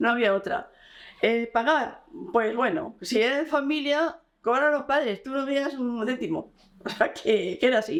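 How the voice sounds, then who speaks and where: Lively intonation marks the high voice of a woman. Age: 70s. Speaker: former rural worker. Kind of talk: interview.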